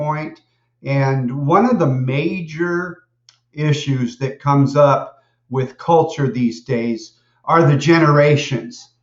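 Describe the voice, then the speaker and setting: A man with an American accent speaks at a very slow pace in a fairly high, somewhat breathy voice with ordinary pitch variation. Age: 60s. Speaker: college lecturer. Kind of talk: lecture.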